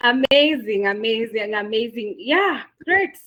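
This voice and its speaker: A woman's high, animated voice in a Kenyan accent at a fairly slow pace. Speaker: webinar moderator. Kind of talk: online session wrap-up. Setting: video call.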